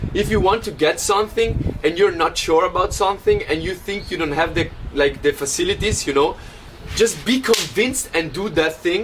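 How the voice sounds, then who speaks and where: Music plays behind a man with a high voice and an animated tone. He talks fairly quickly, with ordinary pitch variation. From Italy. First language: Italian. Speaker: DJ and podcast host. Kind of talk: casual chat. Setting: traveling to the beach.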